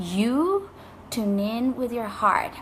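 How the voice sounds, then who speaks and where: Speaking with a non-native accent, a woman talks at a fairly slow pace. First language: not English. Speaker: life coach and author. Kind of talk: motivational talk to camera.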